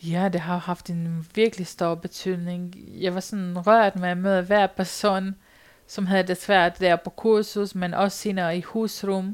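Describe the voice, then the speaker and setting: A woman speaks at a very slow pace. Her intonation is monotone and flat. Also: medium pitch for a woman. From rural Romania. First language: Romanian (speaking Danish). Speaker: volunteer storyteller on loneliness. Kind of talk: personal testimony interview. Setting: sofa at a volunteer centre.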